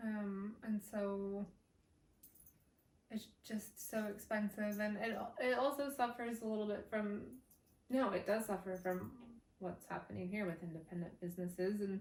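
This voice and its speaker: A woman with an American accent speaks at a fairly slow pace in a medium pitch, somewhat breathy, with fairly even intonation. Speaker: vlogger. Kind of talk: casual vlog talk to camera.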